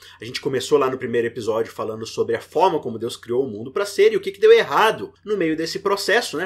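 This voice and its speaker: The voice moves at a fairly quick pace while its pitch swings very widely. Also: man. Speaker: podcast host, Bible study teacher. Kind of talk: podcast discussion, Bible lesson.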